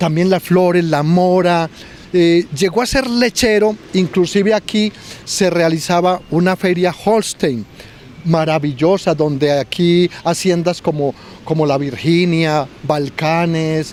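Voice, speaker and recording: A man's high voice at a very slow pace, with ordinary pitch variation, very even loudness and noticeable background noise. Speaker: local historian. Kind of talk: interview. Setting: outdoors. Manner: halting.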